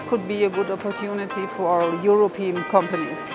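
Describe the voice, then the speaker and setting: Clear music can be heard in the background. Over it, a woman talks. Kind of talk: interview answer. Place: hall.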